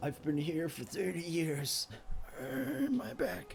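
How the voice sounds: Against clear background noise, a put-on character voice at a middle pitch moves along at a fairly slow pace.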